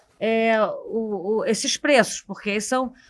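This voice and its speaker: In a Carioca accent, a woman talks at a fairly slow pace with a fairly high pitch. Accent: Carioca (Rio de Janeiro) accent, noticeable. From Rio de Janeiro, Brazil. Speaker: economist. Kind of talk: panel discussion podcast. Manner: halting, many fillers.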